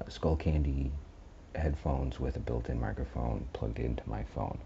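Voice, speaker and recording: With noticeable background noise behind him, a man speaks at a moderate pace in a very deep, low pitch and fairly even intonation. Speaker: horror story narrator and channel host. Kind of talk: casual channel update. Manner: soft-spoken; halting. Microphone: headphone mic plugged into phone.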